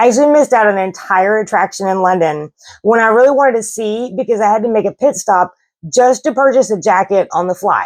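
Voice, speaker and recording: A woman with a Southern US accent talks at a very fast pace, her pitch fairly high and her pitch variation ordinary. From US South. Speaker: travel vlogger. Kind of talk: casual vlog talk to camera.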